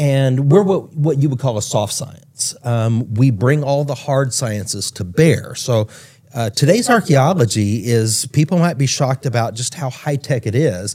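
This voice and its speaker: A man with an American accent talks at a fairly slow pace with hardly any pauses, his medium-pitched, somewhat breathy voice dark and mellow in tone, with ordinary pitch variation. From Texas, Dallas area. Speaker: archaeologist. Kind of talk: interview conversation.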